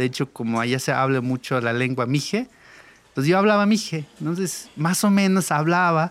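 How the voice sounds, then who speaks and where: A man's fairly high voice at a moderate pace, with lively intonation, on a very clean recording with a silent background. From Mexico, Oaxaca Sierra Norte (Mixe community). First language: Mixe (speaking Spanish). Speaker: sound engineer. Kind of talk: interview storytelling.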